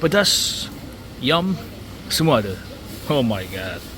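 Amid noticeable background noise and audible room echo, a man talks at a very slow pace with very wide pitch swings. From South Korea. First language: Korean (speaking Malay). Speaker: vlogger. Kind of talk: casual vlog talking to camera. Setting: eating at a roadside restaurant; walking outdoors at night. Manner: halting, with many fillers and repetitions.

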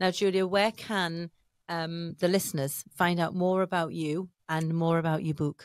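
Against a quiet background with dry sound and no echo, a woman with an English accent speaks at a moderate pace in a flat monotone at a fairly low pitch. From England. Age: 50s. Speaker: podcast host, entrepreneur and coach; podcast host, coach. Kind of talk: interview conversation. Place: studio. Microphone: studio mic.

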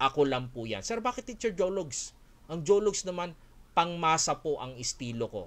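The man keeps his speech at a moderate pace. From Philippines, Olongapo City; Philippines. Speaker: Korean language teacher and school owner; Korean language teacher. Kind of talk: online webinar. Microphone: webcam.

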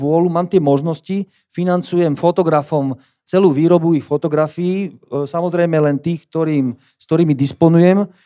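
The man's voice is fairly high in pitch, with a dark, mellow tone. He speaks at a moderate pace with fairly even intonation against a quiet background. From Slovakia. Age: 50s. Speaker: gallery owner and fine art printer. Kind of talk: conference talk. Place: hall. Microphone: handheld.

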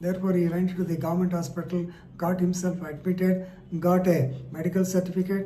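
A man's high-pitched voice comes at a moderate pace over light background noise. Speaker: legal commentator. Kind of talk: explainer on a court case. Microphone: phone near.

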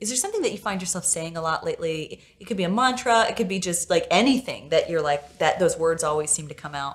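Words come at a very fast pace with hardly any pauses. The intonation is lively. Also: woman. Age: 30s. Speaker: podcast host. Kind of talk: interview conversation. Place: studio. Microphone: lapel.

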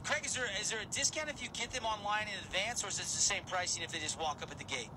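A man with a high voice talks very fast in an upbeat, energetic tone with lively intonation, against noticeable background noise. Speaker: radio sports show host. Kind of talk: radio interview host. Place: studio. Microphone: studio mic.

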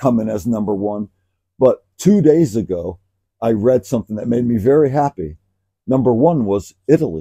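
Over a quiet background, a man with a dark, mellow tone speaks at a moderate pace with lively intonation. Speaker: podcast co-host. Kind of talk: casual conversation. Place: garden. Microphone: lapel.

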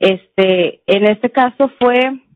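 A woman speaks with ordinary pitch variation. The sound is dry with no echo, over a quiet background. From Mexico. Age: 20s. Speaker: forensic chemist, expert witness; witness. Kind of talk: court testimony. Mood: formal, calm. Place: hall. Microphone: podium.

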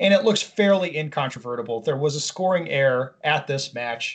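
At a moderate pace, the somewhat breathy voice carries lively intonation against a quiet background. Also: man. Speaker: podcast co-host. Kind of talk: reading an email aloud with commentary. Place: home room. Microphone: video call.

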